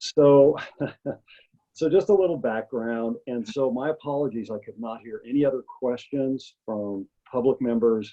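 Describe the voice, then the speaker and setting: This is an ordinary speaking voice, at a moderate pace with ordinary pitch variation. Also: man, medium pitch for a man, big swings in loudness. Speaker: community member giving public input. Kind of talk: public comment at virtual meeting.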